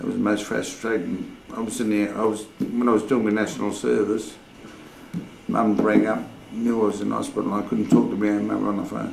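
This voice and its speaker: A very fast Australian accent broken by long, frequent pauses, with audible room echo and noticeable background noise. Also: man. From Sydney, Australia. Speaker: oral history interviewee. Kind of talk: oral history interview.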